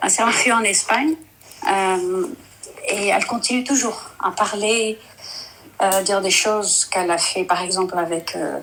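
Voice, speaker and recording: Speaking with a non-native accent, a woman uses a medium pitch at a fairly slow pace. Her long, frequent pauses come through noticeable background noise. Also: ordinary pitch variation. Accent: non-native French, rusty. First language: Dutch (speaking French). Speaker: caller. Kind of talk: testimony. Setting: live stream call. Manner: halting, hesitant.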